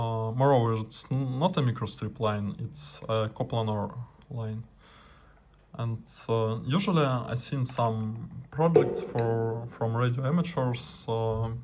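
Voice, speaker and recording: A man, somewhat breathy, at a very slow pace. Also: medium pitch for a man, ordinary pitch variation. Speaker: radio amateur, scientist. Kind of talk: tutorial. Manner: halting, many fillers.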